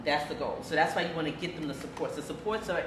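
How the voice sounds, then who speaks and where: A woman speaks with a very deep, low pitch. Noticeable background noise and audible room echo surround her voice. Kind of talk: interview.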